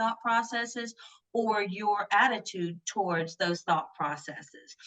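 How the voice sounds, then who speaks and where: A woman speaks in a Southern US accent. Her pace is moderate and her intonation lively. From US South. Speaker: grief and loss author. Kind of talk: podcast interview.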